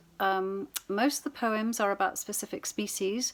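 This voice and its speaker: A woman's medium-pitched voice in a British accent, fairly slow and with ordinary pitch variation, on a very clean recording with a silent background. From UK. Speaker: poet. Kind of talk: poetry reading with commentary. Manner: hesitant, many fillers.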